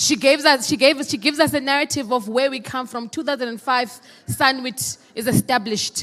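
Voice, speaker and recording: A woman with a South African accent speaks in a high pitch. Her tone is animated and her pace fairly quick. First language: Xhosa. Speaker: program director at a meeting. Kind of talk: formal address at a meeting. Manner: animated, rhetorical.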